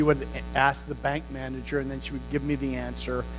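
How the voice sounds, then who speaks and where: Audible room echo surrounds a man with an American accent. He talks at a fairly quick pace. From United States. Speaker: pastor. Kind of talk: sermon.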